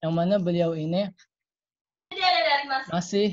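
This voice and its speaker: A man with a high voice. The background is quiet. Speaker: online seminar host. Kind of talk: hosting greetings and speaker introduction. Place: home room. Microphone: video call.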